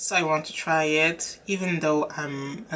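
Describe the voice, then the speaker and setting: A woman speaks at a very slow pace with a strong French accent. Her pitch variation is ordinary. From France. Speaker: beauty youtuber. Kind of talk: casual vlog talk. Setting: home room, windows open. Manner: hesitant with fillers.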